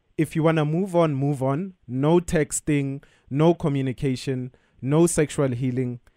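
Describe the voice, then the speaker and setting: In a very clean recording with a silent background, a man talks at a moderate pace in an ordinary speaking voice, pitched fairly high with ordinary pitch variation. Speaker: radio co-host giving advice. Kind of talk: casual advice chat. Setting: studio.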